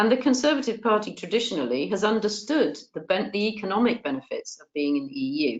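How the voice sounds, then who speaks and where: Speaking in a southern English accent at a very fast pace with hardly any pauses, a woman uses a medium pitch with very wide pitch swings, big swings in loudness, and vocal fry. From England, Bath. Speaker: politician. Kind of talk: webinar discussion.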